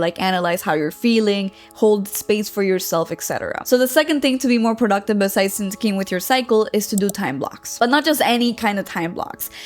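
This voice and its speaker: With music in the background, a woman with a non-native accent speaks at a moderate pace and medium pitch with hardly any pauses. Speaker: women's alignment coach. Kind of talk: coaching talk to camera. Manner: casual, with fillers and self-corrections.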